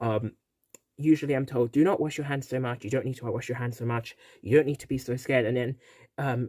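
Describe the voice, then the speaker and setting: A man's medium-pitched, dark, mellow voice at a very fast pace, with fairly even intonation and big swings in loudness. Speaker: vlogger. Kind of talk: personal vlog. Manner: halting, stuttering.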